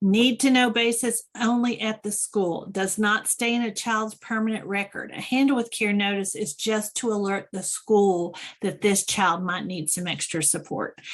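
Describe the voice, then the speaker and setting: A woman with an ordinary speaking voice talks at a moderate pace with hardly any pauses. Her pitch is medium with ordinary variation, and the background is quiet. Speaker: expert presenter on school trauma support program. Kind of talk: webinar presentation.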